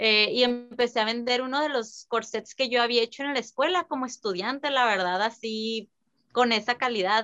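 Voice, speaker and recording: A high-pitched woman at a moderate pace with ordinary pitch variation, music in the background. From San Luis Río Colorado, Sonora, Mexico. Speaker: fashion designer. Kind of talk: interview.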